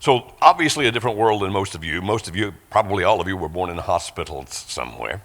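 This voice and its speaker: A man talks at a very fast pace with hardly any pauses, his fairly low voice showing vocal fry. His intonation is lively, and his loudness swings widely. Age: 60s. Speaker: guest preacher. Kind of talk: sermon.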